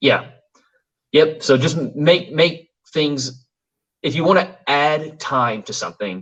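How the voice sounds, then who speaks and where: With vocal fry and long, frequent pauses, a man speaks at a very slow pace. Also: fairly high pitch for a man, ordinary pitch variation. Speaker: gaming channel host. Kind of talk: casual chat. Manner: halting, many fillers.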